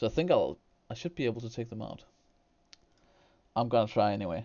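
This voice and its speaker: A man with a Danish accent talks at a very fast pace in a medium-pitched voice. His intonation is lively, and his loudness swings widely. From Denmark. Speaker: gaming streamer. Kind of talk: gameplay commentary with live chat. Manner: hesitant, repeats words.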